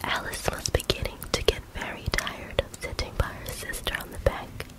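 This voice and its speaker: The speaker whispers at a moderate pace. Noticeable background noise runs underneath. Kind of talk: whispered audiobook reading of a classic story. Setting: ASMR recording with close microphone, ear to ear. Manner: whispered, soft, relaxing.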